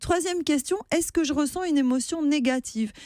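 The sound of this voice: A woman speaks at a moderate pace with ordinary pitch variation. The very clean recording has a silent background and a dry, close sound with no echo.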